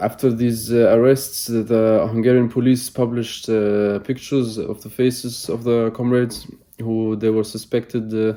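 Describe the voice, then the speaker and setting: Monotone, flat intonation marks this man's medium-pitched voice. His tone is dark and mellow, and his pace is moderate. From Germany. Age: 20s. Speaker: political activist. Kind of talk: interview. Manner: halting, many fillers.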